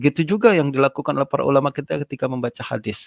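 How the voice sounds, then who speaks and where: A man talks at a fairly quick pace with ordinary pitch variation. The sound is dry with no echo over a quiet background. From Indonesia. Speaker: Islamic scholar and lecturer; lecturer. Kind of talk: religious lecture. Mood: calm, earnest. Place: home room. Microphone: video call.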